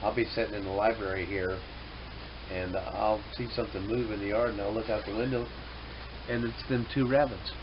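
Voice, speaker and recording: With audible room echo and noticeable background noise, a man with a fairly low pitch talks at a fairly quick pace and ordinary pitch variation. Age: 60s. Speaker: hobby farmer and vlogger. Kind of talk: casual monologue to camera. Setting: indoors at home. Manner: halting, many fillers.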